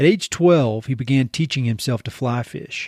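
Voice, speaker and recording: Speaking with a Southern accent, a man uses lively intonation at a medium pitch. The sound is dry and close, with no echo. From eastern North Carolina. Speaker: podcast host. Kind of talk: scripted podcast intro. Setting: video call.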